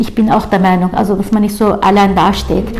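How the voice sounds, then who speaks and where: Amid noticeable background noise, a woman with a Turkish accent speaks in a monotone, flat intonation. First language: Turkish (speaking German). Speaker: labour chamber councillor. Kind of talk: interview. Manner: halting, many filler sounds.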